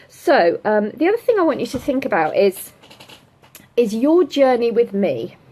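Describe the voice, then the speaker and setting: Against noticeable background noise, a woman's high voice swings very widely in pitch. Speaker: business coach. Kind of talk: livestream coaching session. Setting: livestream from home with laptop. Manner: fast.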